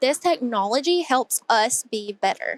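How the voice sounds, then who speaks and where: With an Appalachian accent, a woman speaks in a high voice with lively intonation, the sound dry and close with no echo. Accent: Appalachian Southern US. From Hazard, Kentucky, Appalachia. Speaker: dentist. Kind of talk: podcast interview answer.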